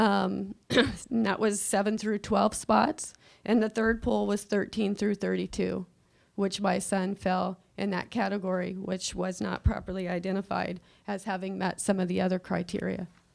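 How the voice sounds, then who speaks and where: Her medium-pitched voice has vocal fry and a flat, monotone intonation. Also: moderate pace. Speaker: parent speaking at public comment. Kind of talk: public comment at board meeting. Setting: school board meeting. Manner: halting, many fillers.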